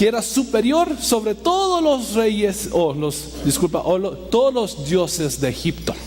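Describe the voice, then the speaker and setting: A man speaks at a very slow pace at a high pitch, with very wide pitch swings. Audible room echo and noticeable background noise surround him. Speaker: pastor. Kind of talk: sermon. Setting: church. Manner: halting.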